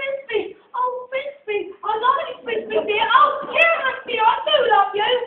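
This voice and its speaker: Doing a squeaky put-on character voice at an extremely high pitch, a woman speaks at a fairly slow pace. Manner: theatrical, pleading.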